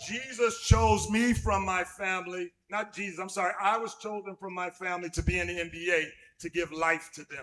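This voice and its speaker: Music plays in the background as a man speaks at a fairly slow pace and a high pitch, with ordinary pitch variation. His loudness swings widely. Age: 60s. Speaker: evangelist, former pro basketball player. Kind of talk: sermon. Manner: pausing for interpretation.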